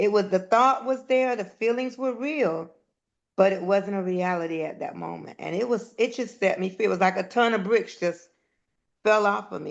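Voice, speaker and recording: A woman with a plain, everyday voice speaks at a moderate pace in a medium pitch, with ordinary pitch variation over a quiet background. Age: 60s. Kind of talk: casual chat.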